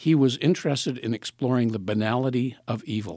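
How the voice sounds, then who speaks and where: A man with an unremarkable speaking voice talks at a fairly quick pace, in a medium pitch with ordinary pitch variation. The recording is very clean with a silent background, and the sound is dry and close with no echo. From southern Ontario, Canada. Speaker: retired film professor and program coordinator. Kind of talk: casual interview.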